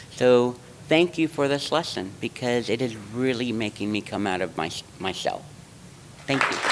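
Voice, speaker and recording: A man's lively intonation, broken by long, frequent pauses, amid noticeable background noise. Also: medium pitch for a man, moderate pace. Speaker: realtor. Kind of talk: self-introduction speech.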